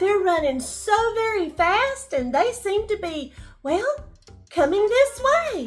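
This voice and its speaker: With music playing in the background, a woman uses a squeaky, put-on character voice at a fairly slow pace. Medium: read story. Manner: cautious, knowing.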